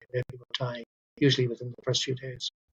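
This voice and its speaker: Somewhat breathy and at medium pitch, a man talks at a very fast pace in a dry, close sound with no echo. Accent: Irish. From Ireland. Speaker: doctor. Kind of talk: interview. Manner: halting.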